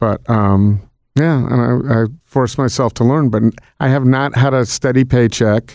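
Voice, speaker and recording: A man has a plain, everyday voice with an American accent, a medium pitch and fairly even intonation. He keeps a moderate pace on a very clean recording with a silent background. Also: very even loudness. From Connecticut, near New York. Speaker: food event organizer. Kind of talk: interview conversation.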